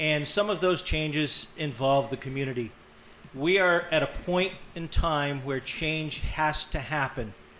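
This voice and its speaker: A man speaks in a normal speaking voice with fairly even intonation. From western Massachusetts, born in Ireland. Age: 60s. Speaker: county sheriff and candidate. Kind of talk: debate opening statement. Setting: grange hall with live audience.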